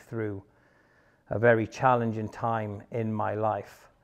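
Monotone, flat intonation with a Welsh accent over a quiet background. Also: man. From Wales, Pembrokeshire; Wales. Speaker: former soldier and bodyguard; interviewee. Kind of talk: personal testimony monologue; interview answer. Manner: halting, many fillers. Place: home room. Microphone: lapel.

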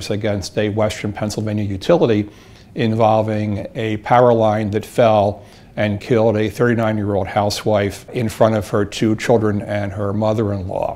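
This man's voice has a dark, mellow tone. His intonation is monotone and flat. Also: fairly low pitch for a man, moderate pace. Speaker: attorney. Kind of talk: interview answer. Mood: serious, measured. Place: office. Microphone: lapel.

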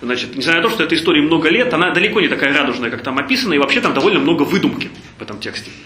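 Over light background noise and audible room echo, a man with a fairly high pitch rattles along at a very fast pace, his voice making very wide pitch swings. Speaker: charity foundation head. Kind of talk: lecture. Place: hall. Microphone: camera far.

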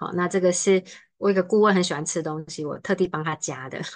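The speaker moves at a fairly quick pace with fairly even intonation, and the background is quiet. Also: woman. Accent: Taiwanese. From Taiwan, Taipei; Taiwan. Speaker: study-abroad consultant; presenter. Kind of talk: online seminar presentation. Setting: video call. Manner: fast. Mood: relaxed, friendly. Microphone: webcam.

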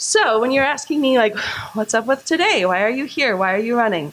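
A woman's very fast speech with lively intonation over noticeable background noise. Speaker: political candidate. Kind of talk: candidate forum speech. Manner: loud.

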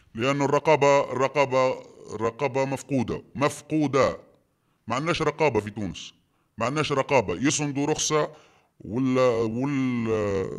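Speaking with a Tunisian accent, a man goes at a fairly slow pace with ordinary pitch variation. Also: quiet background. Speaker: quarry business owner. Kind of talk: testimony. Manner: animated. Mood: indignant, accusing. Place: home room.

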